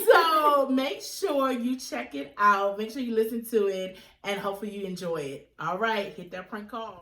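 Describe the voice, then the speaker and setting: With an American accent and lively intonation, a woman with a fairly high pitch talks at a moderate pace with hardly any pauses and big swings in loudness, amid audible room echo and noticeable background noise. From Virginia, Chesterfield County. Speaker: podcast co-host. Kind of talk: casual chat.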